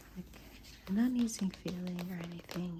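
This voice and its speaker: A soft-spoken woman talks at a fairly low pitch and a moderate pace. Noticeable background noise is present. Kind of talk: ASMR show and tell, soft-spoken. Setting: indoors, close-mic ASMR.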